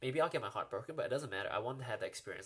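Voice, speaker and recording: A man speaks with an American accent. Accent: sounds American to some. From New Zealand. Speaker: comedian. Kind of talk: live stream Q&A. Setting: live stream. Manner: casual, many fillers and repeats.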